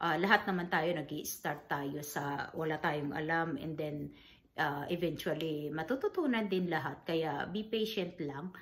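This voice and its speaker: Her pitch is very deep and low, and this woman talks at a fairly slow pace. Her pitch variation is ordinary. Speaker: vlogger, grieving mother. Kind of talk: casual vlog talk. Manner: halting, many fillers.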